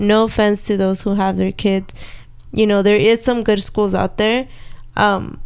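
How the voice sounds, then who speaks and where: A woman with a Spanish accent at medium pitch, monotone and flat in intonation, very even in loudness, at a fairly slow pace. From Southern California (Orange County). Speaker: podcast host, homeschooling mother. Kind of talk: casual chat.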